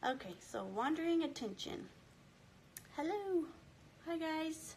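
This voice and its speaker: A woman's pitch swings very widely amid audible room echo. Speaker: homeschooling book club host. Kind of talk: live book club discussion. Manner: animated.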